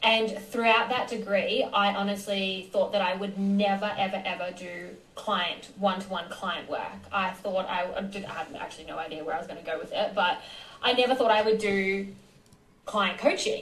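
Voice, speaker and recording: A woman with an Australian accent speaks at a moderate pace with fairly even intonation and big swings in loudness. Audible room echo and noticeable background noise are present. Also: medium pitch for a woman. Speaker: nutritionist. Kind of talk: interview.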